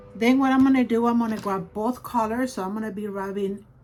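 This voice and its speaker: A woman's medium-pitched voice at a fairly quick pace, with ordinary pitch variation and music in the background. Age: 60s. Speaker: beauty vlogger. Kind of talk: tutorial. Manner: casual.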